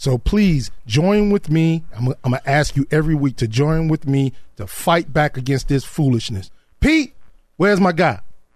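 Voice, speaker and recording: Somewhat breathy male speech, fairly high in pitch, at a moderate pace. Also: lively intonation. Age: 50s. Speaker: radio co-host. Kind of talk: talk radio discussion. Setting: studio.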